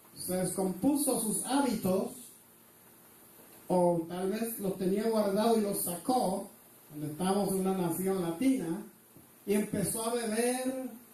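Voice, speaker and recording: With a non-native accent and a high pitch, a man speaks at a fairly slow pace with ordinary pitch variation and long, frequent pauses, amid audible room echo and noticeable background noise. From Mexico (born Afghanistan, Indian mother, Puerto Rican father). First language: not Spanish (speaking Spanish). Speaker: preacher. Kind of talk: sermon.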